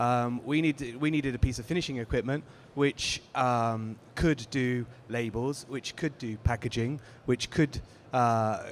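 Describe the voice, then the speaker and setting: A man speaks at medium pitch with fairly even intonation. Music plays in the background. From Britain. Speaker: sales manager for a print finishing equipment maker. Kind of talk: panel discussion. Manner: hesitant, many fillers.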